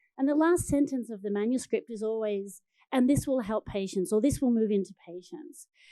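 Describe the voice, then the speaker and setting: On a very clean recording with a silent background, a dark, mellow tone moves with lively intonation at a fairly quick pace in an Australian accent. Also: woman. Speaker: biotech research executive. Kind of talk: panel discussion.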